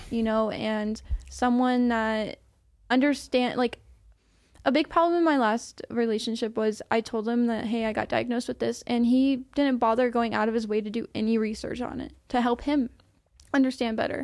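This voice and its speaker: A woman with a plain, everyday voice speaks at a moderate pace and a fairly high pitch, her intonation fairly even, on a very clean recording with a silent background. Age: 20s. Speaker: podcast guest, former car detailer. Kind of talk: casual interview.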